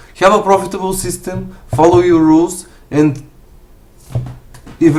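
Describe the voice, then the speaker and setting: A man talks with a strong Bulgarian accent. Audible room echo surrounds his voice. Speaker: forex trader. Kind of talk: live stream commentary and Q&A. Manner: halting, many fillers.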